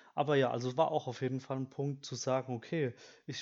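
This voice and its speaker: A man speaks with a fairly high pitch. The background is quiet. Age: 20s. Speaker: student podcast host. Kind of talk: solo podcast monologue. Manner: hesitant, many filler sounds.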